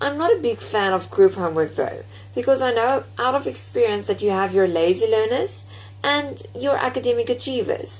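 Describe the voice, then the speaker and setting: Over noticeable background noise, the speaker talks at a moderate pace. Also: woman. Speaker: university student. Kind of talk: prepared presentation.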